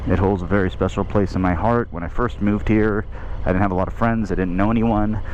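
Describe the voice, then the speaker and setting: A man's fairly low voice with fairly even intonation, audible room echo and noticeable background noise. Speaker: motorcycle vlogger. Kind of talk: casual vlog narration while riding. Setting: outdoors on a motorcycle.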